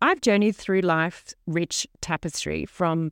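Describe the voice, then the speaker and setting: With an Australian accent, a woman speaks at a moderate pace and medium pitch, with ordinary pitch variation in a dry, close sound with no echo. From Sydney, Australia. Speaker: podcast host, former model and wool grower. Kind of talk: solo podcast narration. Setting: farm station.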